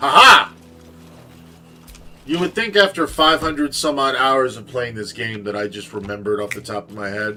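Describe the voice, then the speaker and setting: A medium-pitched male voice over noticeable background noise. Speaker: video game streamer. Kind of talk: casual live-stream gaming chat. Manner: relaxed, with many fillers.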